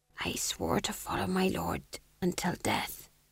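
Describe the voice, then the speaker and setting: A put-on character voice, raspy and hoarse. It moves along at a moderate pace. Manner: submissive, earnest.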